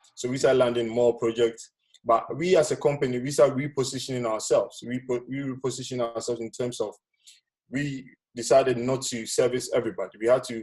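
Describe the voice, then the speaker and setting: A man speaks at a fairly quick pace in a monotone, flat delivery at a medium pitch. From Ghana. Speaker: business speaker. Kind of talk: webinar presentation. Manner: soft-spoken; casual, hesitant.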